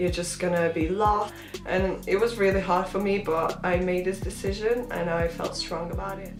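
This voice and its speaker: A woman talks at a moderate pace with a medium pitch. Audible room echo surrounds her voice, and music plays in the background. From Latvia. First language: Latvian. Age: 20s. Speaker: vlogger. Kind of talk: casual Q&A vlog.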